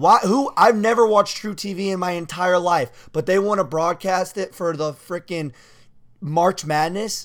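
A man with an American accent talks at a fairly slow pace and a high pitch, with ordinary pitch variation. The recording is very clean, with a silent background. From various US states. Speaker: college basketball player and podcast co-host. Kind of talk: casual chat.

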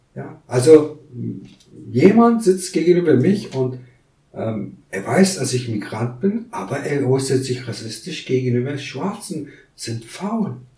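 Very slow speech with very wide pitch swings and big swings in loudness carries audible room echo. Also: man, fairly high pitch for a man. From Kurdistan. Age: 30s. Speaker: migrant council member, business lawyer. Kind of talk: interview.

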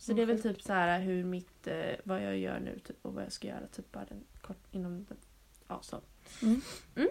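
A woman's voice at a moderate pace, with big swings in loudness. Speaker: podcast host. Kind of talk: casual chat.

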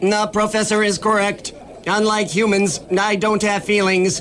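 Someone uses a put-on character voice at a moderate pace, with clear background noise present. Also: man, high pitch for a man. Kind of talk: deadpan robot voice, comic sketch. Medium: comedy sketch. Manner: calm, precise, matter-of-fact.

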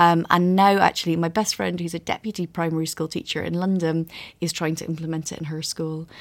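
On a very clean recording with a silent background, a woman with a Scottish accent speaks fairly quickly in a fairly low, monotone, flat voice. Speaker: author. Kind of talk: interview.

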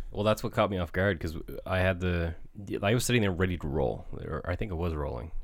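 A man speaks at a very fast clip in a very deep, low voice with vocal fry, an animated tone and ordinary pitch variation. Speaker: podcast co-host. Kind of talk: casual banter. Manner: joking, animated.

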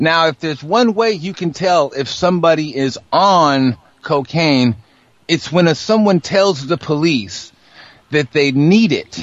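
A man with an unremarkable speaking voice, fairly high in pitch. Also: lively intonation. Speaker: radio host. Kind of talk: casual chat.

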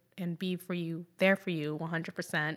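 A woman speaks with fairly low pitch. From Jacksonville, Florida, US (Puerto Rican parents). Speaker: dancer and painter. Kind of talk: interview.

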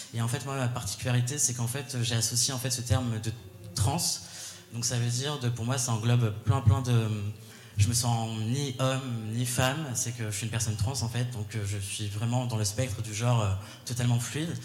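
A man talks at medium pitch and a moderate pace in a monotone, flat intonation. Audible room echo and noticeable background noise are present. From Paris region (Val-de-Marne). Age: 20s. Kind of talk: live panel discussion. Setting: stage with audience.

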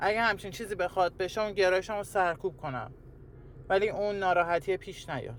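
A man talks at a fairly quick pace. His voice is high-pitched, with ordinary pitch variation. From Iran, Tehran. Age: 20s. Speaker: interviewee sharing life story. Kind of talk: personal testimony interview. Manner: hesitant, halting.

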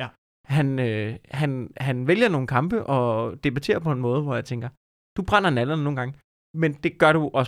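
A man talks at a moderate pace in a fairly high pitch. It is an unremarkable speaking voice in a very clean recording with a silent background. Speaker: comedian. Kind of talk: casual chat.

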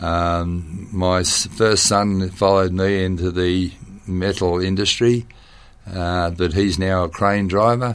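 A man speaks very slowly in a very deep, low pitch. His intonation is monotone and flat. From Western Sydney, Australia. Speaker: long-serving local councillor. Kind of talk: interview.

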